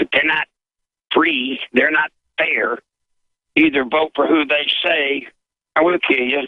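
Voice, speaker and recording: A man with a Southern US accent speaks at a fairly high pitch, monotone and flat, with very even loudness. His pace is fairly slow, broken by long, frequent pauses. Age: 60s. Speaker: political insider. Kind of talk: talk radio interview.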